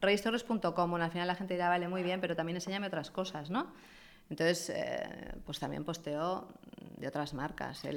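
With a fairly low pitch and fairly even intonation, a woman speaks at a moderate pace in a plain, everyday voice. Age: 50s. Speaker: fashion influencer. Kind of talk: interview.

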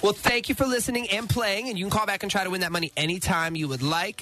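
With music in the background, a man talks at a very fast pace in an animated tone. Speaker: radio host. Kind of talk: morning radio show banter. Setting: radio studio. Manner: animated, joking, bantering.

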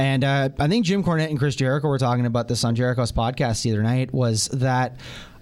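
A man's medium-pitched voice at a very fast pace, with hardly any pauses, very even loudness and ordinary pitch variation. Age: 20s. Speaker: wrestling fan guest. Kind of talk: casual review chat. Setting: radio studio.

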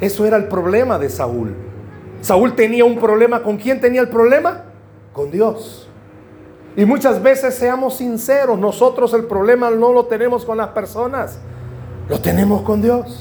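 A man with an extremely high pitch speaks fairly slowly, with ordinary pitch variation. Audible room echo and noticeable background noise are present. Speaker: pastor. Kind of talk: sermon.

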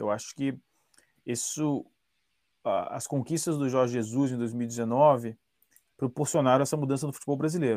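Speaking at a moderate pace with long, frequent pauses, a man with a medium pitch and ordinary pitch variation is heard in a dry, close recording with no echo that is very clean, with a silent background. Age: 40s. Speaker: football analyst. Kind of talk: podcast interview.

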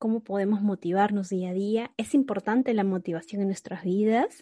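A woman speaks at a medium pitch and a moderate pace, her tone dark and mellow with ordinary pitch variation. The background is quiet. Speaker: podcast host. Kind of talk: casual chat.

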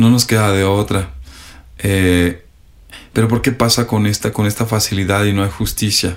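Over a silent background on a very clean recording, a man speaks at a fairly low pitch and moderate pace with fairly even intonation, very even loudness, and long, frequent pauses. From Mexico, Sierra de Puebla. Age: 40s. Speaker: high school teacher. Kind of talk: classroom talk; interview. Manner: halting, many fillers.

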